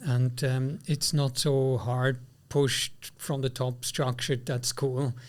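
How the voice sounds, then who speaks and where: A man at medium pitch with a Swiss accent, somewhat breathy, at a very slow pace and fairly even intonation, on a very clean recording with a silent background. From Switzerland. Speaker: podcast host. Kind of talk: interview.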